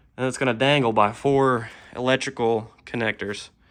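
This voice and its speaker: Over a quiet background, a man talks at medium pitch in a bright, sharp tone with ordinary pitch variation. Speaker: car DIY hobbyist. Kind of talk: tutorial. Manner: slow; casual, hesitant with fillers.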